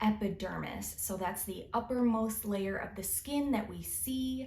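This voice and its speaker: A woman's voice over noticeable background noise. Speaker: licensed cosmetologist and podcast host. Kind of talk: educational podcast monologue. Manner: slow-paced.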